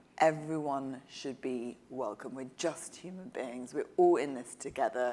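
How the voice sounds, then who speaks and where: Speaking fairly slowly, a woman with a very deep, low pitch and a dark, mellow tone shows big swings in loudness and ordinary pitch variation. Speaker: journalist and author. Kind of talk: panel conversation.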